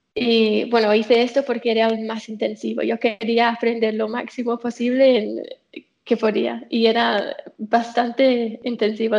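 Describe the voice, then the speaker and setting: This woman speaks with an English accent at a fairly slow pace. Her pitch is fairly high. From England. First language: English (speaking Spanish). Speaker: software developer. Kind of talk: casual chat.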